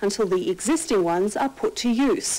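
A woman with an Australian accent talks at a moderate pace in a fairly high pitch. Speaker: news presenter. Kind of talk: news reading. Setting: TV studio. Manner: formal. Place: studio.

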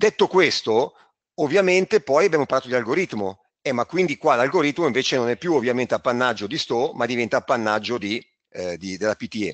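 Against a quiet background, a man speaks at a fairly quick pace and medium pitch with very wide pitch swings, in a dry, close sound with no echo. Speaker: trading school organizer. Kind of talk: webinar presentation. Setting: online webinar.

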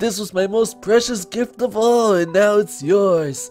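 A man performs a put-on character voice with faint music in the background.

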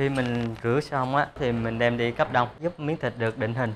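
There is light background noise as a man speaks. His pace is moderate, and his pitch variation is ordinary. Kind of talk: interview answer. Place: factory.

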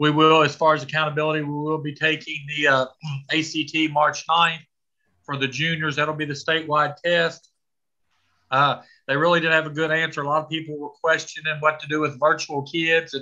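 A man talks at a fairly quick pace in a bright, sharp tone. His intonation is flat and monotone, with a quiet background. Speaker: school administrator reporting to board. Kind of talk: meeting report. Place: home room. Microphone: video call.

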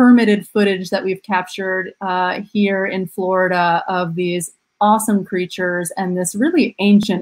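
Over a quiet background, a woman speaks at a moderate pace with fairly even intonation and hardly any pauses. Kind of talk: webinar presentation. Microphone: webcam.

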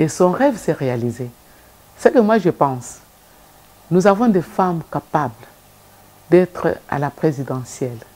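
A woman's very deep, low voice with very wide pitch swings, a fairly slow pace and long, frequent pauses. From DR Congo. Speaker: civil society leader; guest. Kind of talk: TV interview. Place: studio.

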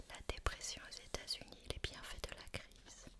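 Whispering at a fairly slow pace. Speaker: reader of a history book. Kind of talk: reading aloud with casual asides. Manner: whispered reading of a headline.

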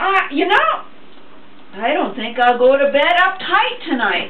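Audible room echo is heard. A woman speaks at a fairly slow pace. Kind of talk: scripted dramatic monologue addressed to God. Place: kitchen. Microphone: camera far.

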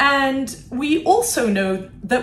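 A woman's speech carries light background noise and audible room echo. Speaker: guest. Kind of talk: interview answer. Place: office.

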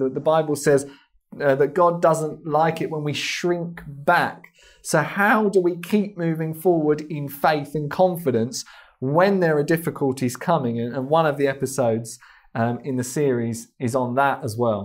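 The background is quiet as a man speaks. He keeps a moderate pace with ordinary pitch variation. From England, London. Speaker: missionary and ministry founder; interviewee. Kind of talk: TV interview. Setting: TV studio. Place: studio. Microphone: lapel.

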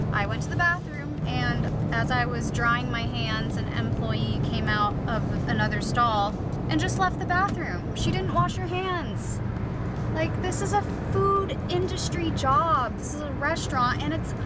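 Loud background noise sits behind a woman speaking at a fairly slow pace, the sound dry with no echo. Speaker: travel vlogger. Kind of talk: casual vlog chat. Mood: annoyed, storytelling. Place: car. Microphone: phone near.

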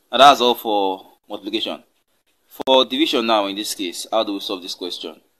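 A man speaks at a moderate pace in a bright, sharp tone with ordinary pitch variation. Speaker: maths tutor. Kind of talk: tutorial. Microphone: phone near.

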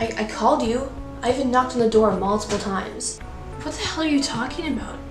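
A woman speaks at a fairly high pitch. Clear music plays in the background. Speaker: amateur filmmaker and actor. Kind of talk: horror short film dialogue. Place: home room.

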